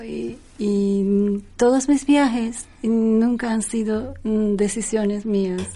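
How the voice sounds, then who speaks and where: With a slight Turkish accent, a woman talks with hardly any pauses at a fairly high pitch, in a dark, mellow tone and a monotone, flat intonation. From Turkey. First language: Turkish (speaking Spanish). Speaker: singer, pianist and composer. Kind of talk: casual interview chat.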